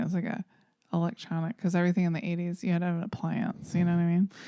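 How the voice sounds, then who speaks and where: With a Southern US accent, this woman has a dark, mellow tone and a fairly low pitch. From US South. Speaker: podcast co-host. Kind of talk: casual chat.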